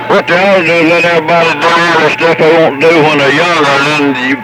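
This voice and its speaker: A man's fairly high-pitched voice with ordinary pitch variation, audible room echo and music in the background. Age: 70s. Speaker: CB radio operator. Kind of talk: casual chat over CB radio. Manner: halting, many fillers.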